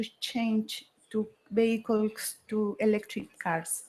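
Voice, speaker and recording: A woman with a Mexican accent speaks at a very slow pace. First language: Spanish. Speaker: state government official. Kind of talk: conference presentation. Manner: halting.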